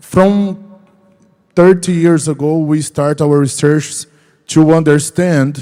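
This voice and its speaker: With a Portuguese accent, this man has a fairly high pitch, a dark, mellow tone and ordinary pitch variation. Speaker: research organization executive. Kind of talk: panel discussion. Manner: halting.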